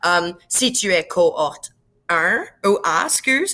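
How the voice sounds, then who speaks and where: The voice has a bright, sharp tone. The recording is very clean, with a silent background. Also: woman. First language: English (speaking French). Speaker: science teacher. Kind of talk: tutorial. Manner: casual, many fillers and English words.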